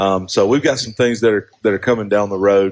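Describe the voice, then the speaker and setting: A man speaks with an Alabama accent. His pitch is fairly low. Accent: Southern US (Alabama). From northern Alabama. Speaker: high school principal. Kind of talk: casual radio interview. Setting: live radio broadcast from a coffee shop.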